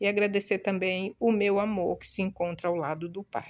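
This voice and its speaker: Nothing much can be heard behind her. The woman talks fairly slowly. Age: 60s. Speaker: video blogger. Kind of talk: casual vlog talk to viewers. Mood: proud, grateful, some grief. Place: home room. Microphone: phone near.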